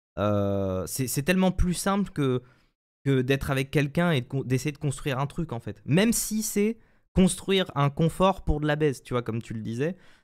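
A man's fairly high voice at a moderate pace, with very wide pitch swings over a quiet background. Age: 20s. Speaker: streamer guest; guest. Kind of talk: casual live-stream chat. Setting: video call via webcam. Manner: hesitant, many fillers and repetitions. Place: home room. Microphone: studio mic.

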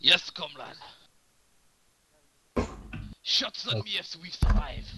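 A put-on character voice in a Russian accent at a fairly slow pace. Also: man, high pitch for a man. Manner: jokey, exaggerated, accent wavers toward Scottish.

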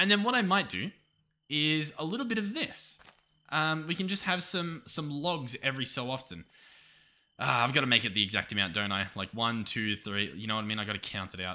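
A man speaks with an Australian accent at a fairly quick pace. His pitch swings very widely. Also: very clean recording, silent background. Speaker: gaming YouTuber. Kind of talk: gameplay commentary. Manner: casual, hesitant with fillers.

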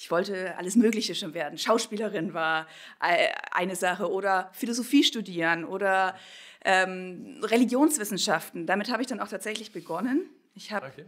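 An ordinary speaking voice, this woman's sits at a medium pitch and moves at a moderate pace. Her intonation is lively, with big swings in loudness. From Bavarian Swabia, Kaufbeuren. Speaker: pastor. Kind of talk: interview.

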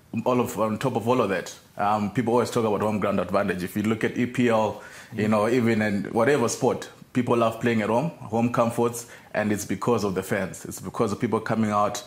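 A man's fairly quick delivery with fairly even intonation. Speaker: rugby team coach, guest. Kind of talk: interview answer. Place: studio. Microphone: lapel.

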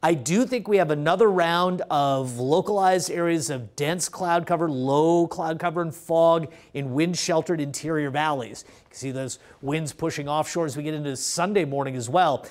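Against a quiet background, a man with a fairly high pitch and ordinary pitch variation speaks at a moderate pace with big swings in loudness. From US West Coast, California Central Coast. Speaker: TV weather forecaster. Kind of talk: local TV weather report, ad-libbed walk through maps and numbers. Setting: TV studio in front of weather graphics. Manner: relaxed, conversational, folksy asides to viewers; steady informative pace, reeling off temperatures. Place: studio. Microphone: lapel.

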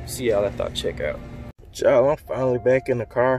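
Words pour out of a man at a very fast pace. Light background noise accompanies a dry sound with no echo. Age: 20s. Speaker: YouTuber vlogger. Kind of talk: casual vlog talk to camera. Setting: in a car. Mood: relaxed, joking.

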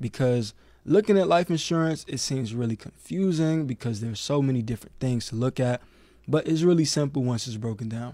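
A dark, mellow male voice with lively intonation at a fairly quick pace, dry with no echo, over a quiet background. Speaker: co-host of a financial talk show. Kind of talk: casual educational chat. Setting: pre-recorded at an office. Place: studio. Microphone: studio mic.

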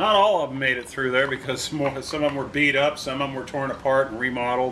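A man talking very fast over noticeable background noise. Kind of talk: tutorial. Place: garage.

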